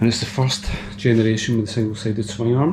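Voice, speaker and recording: Quietly and at a fairly quick pace, a man speaks with a Scottish accent amid audible room echo and noticeable background noise. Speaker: motorcycle vlogger. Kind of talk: casual vlog. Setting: home garage.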